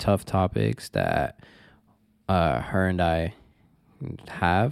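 On a very clean recording with a silent background, a man with a Toronto accent speaks at a very slow pace in a very deep, low pitch. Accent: Canadian (Toronto). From Toronto, Canada (Scarborough). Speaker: podcast co-host, carpenter. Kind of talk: casual chat.

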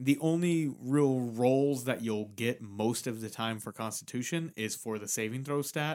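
A man speaks in a normal speaking voice at medium pitch with ordinary pitch variation. His pace is fairly slow, with hardly any pauses. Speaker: podcast co-host. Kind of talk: casual chat about D&D, with a mock street-vendor pitch. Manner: playful, chiming in on the mock pitch with 'step right up'; conversational, explains rules clearly.

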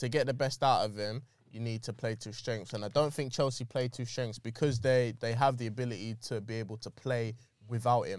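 Fairly quick and marked by big swings in loudness, a man talks with a plain, everyday voice at a medium pitch. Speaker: podcast co-host. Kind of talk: casual banter, football podcast.

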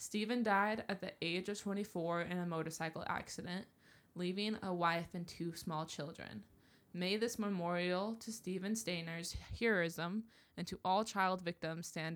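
Fairly low in pitch, a woman speaks at a moderate pace with fairly even intonation. It is an unremarkable speaking voice. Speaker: podcast co-host. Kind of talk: casual banter, chatty. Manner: playful, joking, overlapping.

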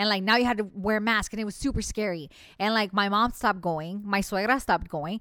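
This woman speaks at a very fast pace with medium pitch and ordinary pitch variation. The recording is very clean, with a silent background. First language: bilingual Spanish and English. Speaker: real estate agent, former medical worker. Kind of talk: casual chat.

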